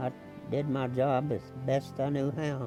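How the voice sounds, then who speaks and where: With music in the background, a man in an American accent speaks at a medium pitch with monotone, flat intonation. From Missouri, USA. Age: 80s+. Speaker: war veteran. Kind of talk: interview answer.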